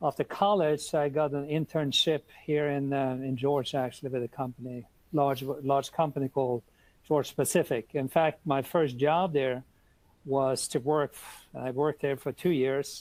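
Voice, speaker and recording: With a Norwegian accent, a man speaks at a fairly high pitch and moderate pace with fairly even intonation, in a dry, close sound with no echo. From Norway, Oslo. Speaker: international trade expert. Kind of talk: webinar Q&A.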